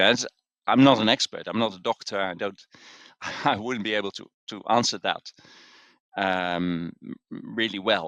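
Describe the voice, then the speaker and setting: A man talks at a moderate pace in a fairly low pitch, with ordinary pitch variation. His tone is bright and sharp, and the sound is dry and close with no echo. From Netherlands. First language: Dutch. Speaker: executive coach and author. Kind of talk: interview. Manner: hesitant, many fillers.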